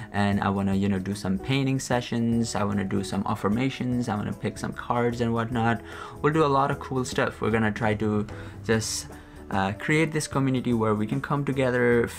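The speech runs at a fairly quick pace with ordinary pitch variation. Clear music plays in the background. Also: man. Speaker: channel host. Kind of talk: casual vlog chat. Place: home room.

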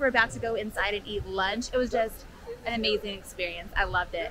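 A woman is speaking over light background noise. The sound is dry, with no echo. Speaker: travel vlogger. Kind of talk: casual vlog chat. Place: street. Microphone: phone near.

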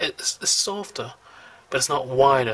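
Noticeable background noise runs behind a man at a fairly slow pace. His pitch is medium. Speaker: calligraphy hobbyist. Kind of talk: product review talk over demonstration. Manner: hesitant, many fillers.

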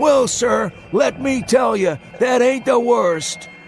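A put-on character voice, hoarse and shrill, goes at a moderate pace over clear background noise. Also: man. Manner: cackling, insistent, hectoring questions.

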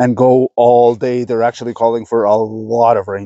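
The man's voice is dry, with no echo. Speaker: outdoor vlogger. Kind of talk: casual vlog chat. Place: forest.

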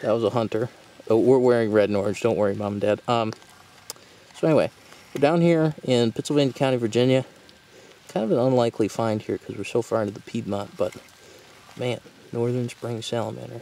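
The man talks at a very fast pace with ordinary pitch variation and long, frequent pauses, in a dry sound with no echo. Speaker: university herping club member, amateur herper. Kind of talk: casual nature narration to camera. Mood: excited, enthusiastic. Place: forest. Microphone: phone near.

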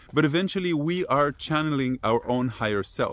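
A man talks at a moderate pace, and the sound is dry with no echo. Faint music plays in the background. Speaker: personal growth teacher. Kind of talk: casual vlog talk, teaching. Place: open country. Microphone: phone near.

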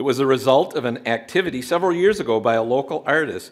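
A man's intonation is lively, set against a quiet background. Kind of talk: formal speech. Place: hall.

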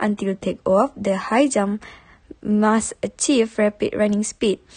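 Over noticeable background noise, a woman with a fairly high pitch speaks at a fairly slow pace. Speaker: university student. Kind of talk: class presentation.

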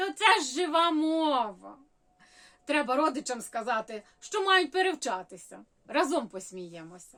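A woman speaks at a fairly slow pace in a high, bright, sharp voice. Her pitch swings very widely. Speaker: humorist. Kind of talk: humorous story reading.

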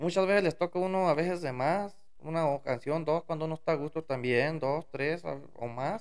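Against a quiet background, a man with a fairly high pitch speaks at a moderate pace with ordinary pitch variation. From Mexico, Durango sierra; Mexico. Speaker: musician; podcast guest. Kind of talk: casual interview. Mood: relaxed, storytelling. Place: studio. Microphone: studio mic.

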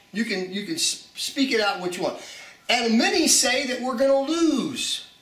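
An American-accented man with an extremely high pitch speaks at a fairly slow pace with lively intonation, and room echo is audible. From USA. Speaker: preacher. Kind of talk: video message, prophetic testimony. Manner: halting, many fillers. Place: home room.

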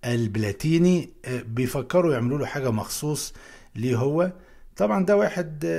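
Spoken with an Alexandrian accent, the voice has a dark, mellow tone and lively intonation, moving at a moderate pace over a quiet background. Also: man, medium pitch for a man. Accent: Egyptian Arabic, Alexandrian. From Egypt, Alexandria; Egypt. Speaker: YouTube educator. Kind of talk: tutorial. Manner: animated. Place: home room.

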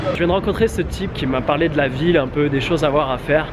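A man with ordinary pitch variation talks at a fairly quick pace while noticeable background noise plays. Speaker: travel vlogger. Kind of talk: casual vlog chat. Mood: upbeat, enthusiastic. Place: street. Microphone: phone near.

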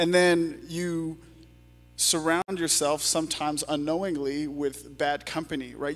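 Faint music plays in the background as a man speaks at a fairly high pitch with fairly even intonation. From Canada. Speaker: pastor. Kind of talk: panel discussion in church service. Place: church. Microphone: handheld.

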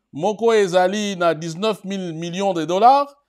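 Over a quiet background, a man speaks at a high pitch. His pitch variation is ordinary. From DR Congo. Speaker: political commentary web TV host; news commentator. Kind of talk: news commentary show. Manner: hesitant with many fillers. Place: studio.

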